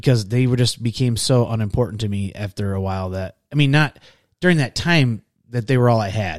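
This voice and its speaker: A man with an American accent has an ordinary speaking voice, medium in pitch with ordinary pitch variation, at a fairly quick pace. The recording is very clean, with a silent background. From Michigan. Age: 40s. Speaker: podcast guest, military veteran. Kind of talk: casual interview.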